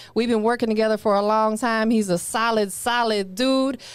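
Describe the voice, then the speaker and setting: Someone with a Tennessee accent speaks at a fairly quick pace in an animated tone. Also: woman. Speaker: podcast host. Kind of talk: casual interview. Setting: studio.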